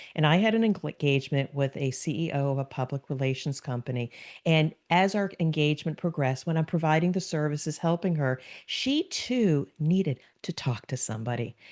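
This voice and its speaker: Against a quiet background, a woman with a New Jersey accent speaks fairly quickly at a very deep, low pitch, her intonation lively. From US Northeast, New Jersey. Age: 60s. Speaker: business consultant and podcast guest. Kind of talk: podcast interview.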